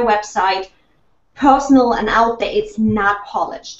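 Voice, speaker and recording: At a moderate pace, a woman speaks with a slight German accent. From Germany. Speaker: online business consultant. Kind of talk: panel discussion.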